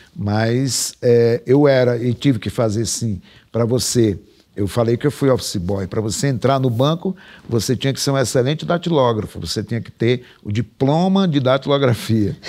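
A man speaks with lively intonation and a dark, mellow tone over a quiet background. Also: moderate pace. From Brazil, Pernambuco (Sertânia, later Recife); Pernambuco, Brazil. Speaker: writer; interviewee. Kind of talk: casual interview chat. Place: studio.

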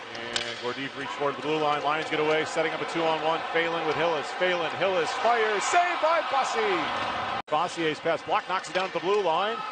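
Against noticeable background noise, a man talks fairly quickly at a high pitch. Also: lively intonation. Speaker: hockey play-by-play announcer. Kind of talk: live sports commentary, play-by-play call of a hockey game. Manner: rapid-fire, clipped, breathless play-by-play; rises in excitement on goals and close calls, unsure and questioning on a disputed goal.

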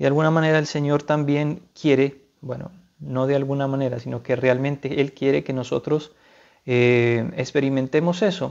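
A man speaks with a fairly high pitch and at a moderate pace. His intonation stays fairly even. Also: quiet background. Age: 30s. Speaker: seminarian, philosophy student; speaker. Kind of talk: religious talk / spiritual reflection; spiritual talk. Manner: halting, many fillers. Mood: calm, earnest.

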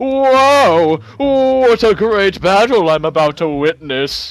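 This put-on character voice sits at a fairly high pitch and moves at a very slow pace. Its pitch swings are very wide. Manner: excited, theatrical.

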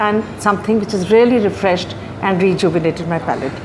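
A woman's pitch varies in an ordinary way, with noticeable background noise around her. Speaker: food reviewer. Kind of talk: restaurant review to camera. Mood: warm, enthusiastic. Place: cafe. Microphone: lapel.

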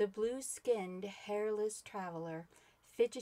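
The clip consists of plain reading aloud. Someone is just reading text out.

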